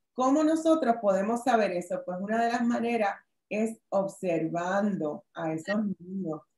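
A woman talks at a fairly slow pace. Audible room echo surrounds her voice. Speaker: workshop presenter, lawyer; presenter, lawyer. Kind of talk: online workshop presentation. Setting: video call. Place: home room. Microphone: webcam.

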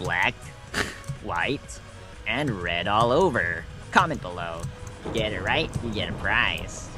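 A man puts on a character voice with a fairly low pitch while clear music plays in the background. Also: fairly slow pace. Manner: taunting, singsong.

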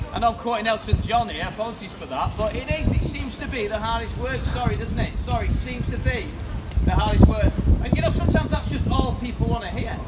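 Over loud background noise, a man speaks at a very fast pace. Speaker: teacher and street preacher. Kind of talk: street preaching, open-air address to passers-by. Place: street.

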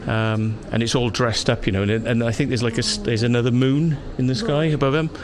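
A man talks at a fairly quick pace, noticeable noise running behind him. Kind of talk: casual vlog chat. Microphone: phone near.

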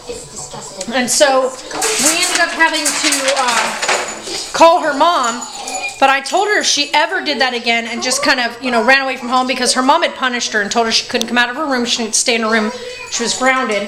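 Over loud background noise, a woman talks at a fairly quick pace. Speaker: parent vlogger. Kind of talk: casual vlog chat. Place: home room. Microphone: phone near.

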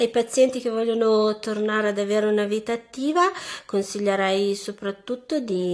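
Against a quiet background, a woman talks with fairly even intonation. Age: 30s. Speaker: asthma patient. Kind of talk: testimony. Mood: earnest, encouraging. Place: home room.

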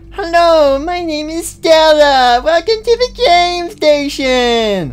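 A put-on character voice speaks at a high pitch and a very slow pace. Clear music plays in the background. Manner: overly cheerful, grating.

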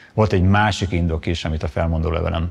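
Pitched very deep and low, a man speaks in a somewhat breathy voice. His intonation stays fairly even. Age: 50s. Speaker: economist, former university lecturer; former university lecturer. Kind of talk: testimony. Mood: calm, measured, serious. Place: studio.

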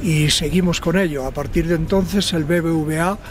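With music in the background, a man of fairly high pitch speaks in a fairly even intonation, the sound dry with no echo. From Ávila, Spain. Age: 70s. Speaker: mountaineer. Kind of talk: message to followers from base camp. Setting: outdoors. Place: open country.

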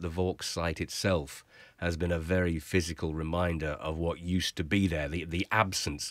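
A man speaks in a very deep, low pitch with monotone, flat intonation. The sound is dry, with no echo. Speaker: guest. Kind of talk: interview answer. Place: studio. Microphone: studio mic.

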